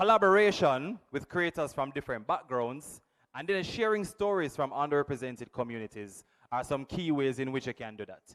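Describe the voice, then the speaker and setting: Speaking with a Jamaican accent, a man with a fairly high voice moves at a fairly quick pace with very wide pitch swings. The recording is very clean, with a silent background. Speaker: workshop presenter. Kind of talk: workshop talk.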